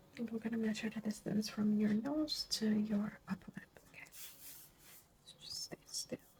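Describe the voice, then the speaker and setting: At a fairly slow pace, the soft-spoken speaker talks with hardly any pauses. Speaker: ASMR creator. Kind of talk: ASMR roleplay. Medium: role play.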